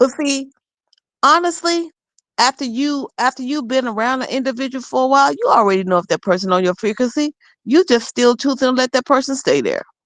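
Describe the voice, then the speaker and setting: Against a quiet background, someone talks at a fairly quick pace. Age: 60s. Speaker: podcast guest. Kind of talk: casual chat.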